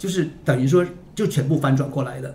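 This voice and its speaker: A man's fairly high, somewhat breathy voice at a fairly quick pace, with ordinary pitch variation. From Northeast China (Liaoning). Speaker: publisher editor-in-chief. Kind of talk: casual podcast conversation. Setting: studio, in-person.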